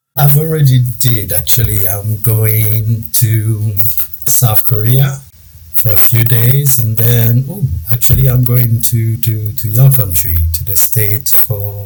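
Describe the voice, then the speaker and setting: A man's medium-pitched voice with ordinary pitch variation at a very slow pace, with music in the background. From Ivory Coast. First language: French. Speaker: risk management consultant. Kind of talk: interview.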